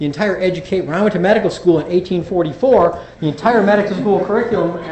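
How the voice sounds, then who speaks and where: Someone talks at a very fast pace with ordinary pitch variation, amid audible room echo and noticeable background noise. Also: man, high pitch for a man. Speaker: physician and addiction specialist. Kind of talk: lecture. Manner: halting with fillers and repetitions.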